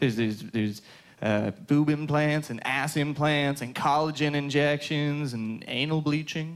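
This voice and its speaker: A man talks at a moderate speed and ordinary pitch variation, the background quiet. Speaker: stand-up comedian. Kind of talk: stand-up comedy routine. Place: stage. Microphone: handheld.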